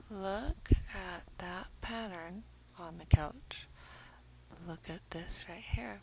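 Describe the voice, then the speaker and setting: Soft-spoken delivery at a very slow pace, with long, frequent pauses. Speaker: true crime commentator. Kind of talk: casual commentary on crime footage.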